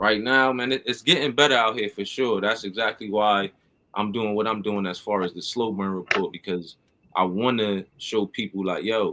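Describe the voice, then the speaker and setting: A man's fairly low, bright and sharp voice with an American accent, at a moderate pace and with fairly even intonation. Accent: East Coast, taken for New York. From Connecticut, US East Coast. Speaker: hip-hop artist and show host. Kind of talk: casual chat.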